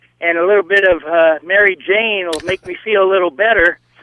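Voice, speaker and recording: Speaking at a fairly quick pace, a man with an American accent keeps a high pitch and fairly even intonation. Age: 60s. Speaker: caller, war veteran. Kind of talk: radio call-in. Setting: phone call.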